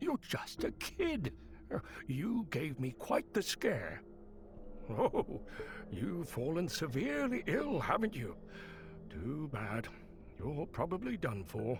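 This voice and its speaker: A man puts on a character voice at a fairly slow pace with long, frequent pauses, over clear background noise. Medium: video game. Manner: chuckling, wheedling.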